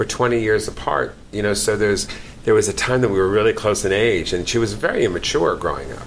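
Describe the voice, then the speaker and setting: Noticeable background noise sits behind the recording. Over it, a man talks at a fairly quick pace. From New York, the Bronx. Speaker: actor and comedian. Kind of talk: casual chat. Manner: animated.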